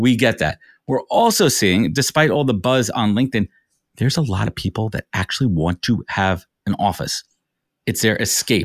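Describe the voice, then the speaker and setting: In a normal speaking voice with an American accent, a man talks at a moderate pace with lively intonation, recorded very cleanly against a silent background in a dry, close sound with no echo. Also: medium pitch for a man. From New York. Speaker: recruiter and business founder. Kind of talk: interview.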